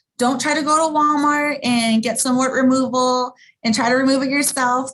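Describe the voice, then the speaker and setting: This is a woman speaking with an American accent. Her voice sits high in pitch. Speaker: sex educator. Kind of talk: educational presentation. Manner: fast; casual, with many fillers.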